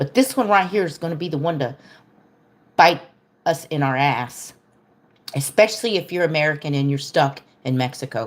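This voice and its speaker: With a very deep, low pitch, a woman talks at a moderate pace in an animated tone with lively intonation and long, frequent pauses. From Texas. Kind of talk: political rant on livestream.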